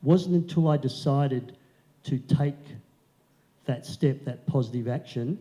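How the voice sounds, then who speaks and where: Pausing long and often at a fairly slow pace, a man speaks in a dark, mellow, somewhat breathy voice of fairly high pitch, with fairly even intonation and big swings in loudness. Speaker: motivational speaker. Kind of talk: keynote speech. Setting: stage with audience.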